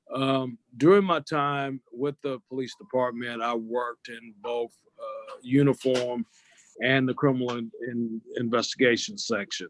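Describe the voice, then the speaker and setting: A man with a Southern US accent speaks at a fairly slow pace and medium pitch, with ordinary pitch variation and big swings in loudness, the sound dry and close with no echo. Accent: Southern US (Georgia). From US South, Lawrenceville, Georgia. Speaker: sheriff candidate, retired police officer. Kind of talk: interview. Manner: hesitant, many fillers.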